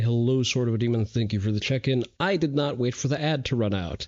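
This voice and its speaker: Against noticeable background noise, a man speaks at a medium pitch. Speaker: vtuber streamer. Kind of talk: casual live stream chat. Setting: live stream.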